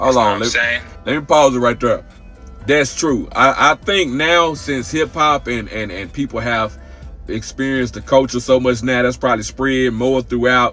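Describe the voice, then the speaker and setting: Over background music, a man talks at a moderate pace in a medium pitch with ordinary pitch variation. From Texas. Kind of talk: casual reaction talk to camera. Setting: outdoors.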